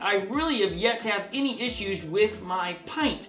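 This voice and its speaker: Faint music sits in the background, and room echo is audible. The speaker moves at a moderate pace with ordinary pitch variation. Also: man. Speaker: product reviewer. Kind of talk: casual review talk to camera. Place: home room.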